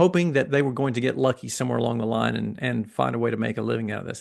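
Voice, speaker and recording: A man is speaking. He has a slight Southern US accent. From US South, Atlanta, Georgia. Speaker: massage therapist and educator. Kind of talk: interview.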